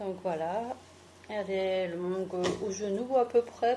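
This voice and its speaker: Speaking in an Alsatian accent, a woman talks at a very slow pace. Her pitch varies in an ordinary way. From France, Alsace (Mulhouse). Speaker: beauty and fashion YouTuber. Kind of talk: fashion haul video. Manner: casual, chatty.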